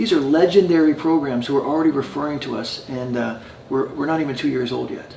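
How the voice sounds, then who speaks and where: A man with a fairly high pitch talks at a very fast pace. His pitch varies normally, and background noise is noticeable. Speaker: addiction recovery program founder. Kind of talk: interview. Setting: in person at a residence. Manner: halting with many fillers.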